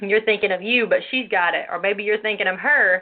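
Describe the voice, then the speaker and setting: A normal speaking voice from a woman, fairly high in pitch, with fairly even intonation. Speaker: women's ministry show host. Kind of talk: religious teaching talk show.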